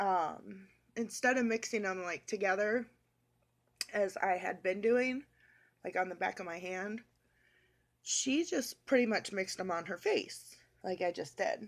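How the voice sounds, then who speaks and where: Speaking at a fairly slow pace with long, frequent pauses, a woman uses a medium pitch and ordinary pitch variation on a very clean recording with a silent background. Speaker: beauty vlogger. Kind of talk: makeup tutorial.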